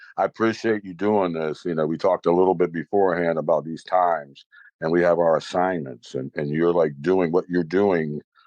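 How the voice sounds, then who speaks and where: This man has a very deep, low pitch and an American accent, talking at a fairly quick pace with fairly even intonation. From New York City. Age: 60s. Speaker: jazz bassist and educator. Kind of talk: casual interview chat.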